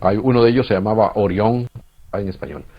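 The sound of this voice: A man talks at a fairly quick pace. His pitch is fairly low, with ordinary variation.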